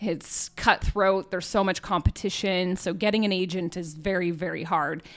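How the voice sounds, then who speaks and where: Here is a woman with a plain, everyday voice, in a Canadian accent and at a medium pitch. Her intonation is fairly even, and the recording is very clean with a silent background. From Cranbrook, British Columbia, Canada. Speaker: podcast host and author. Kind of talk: casual chat.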